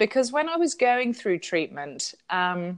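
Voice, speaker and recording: A woman with an English accent speaks very slowly, her fairly high voice swinging very widely in pitch against a quiet background. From southern England. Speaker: author and pastor. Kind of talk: interview; reading aloud.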